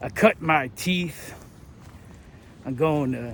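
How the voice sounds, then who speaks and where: A man speaks with an American accent in a somewhat breathy voice. His pitch varies in an ordinary way. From United States. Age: 40s. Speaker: travel vlogger, backpacker. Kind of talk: casual monologue to camera. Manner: casual, profane.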